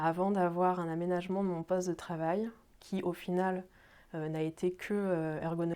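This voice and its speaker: A woman's fairly low voice carries fairly even intonation as she talks at a moderate pace. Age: 30s. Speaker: job seeker with epilepsy. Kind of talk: testimony. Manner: halting, many fillers.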